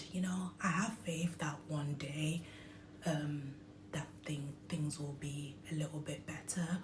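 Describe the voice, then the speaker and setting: In a British accent, a woman with a very deep, low pitch speaks very slowly and with fairly even intonation, amid noticeable background noise and audible room echo. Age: 20s. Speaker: vlogger sharing personal health story. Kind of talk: personal testimony vlog. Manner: hesitant, frequent um fillers.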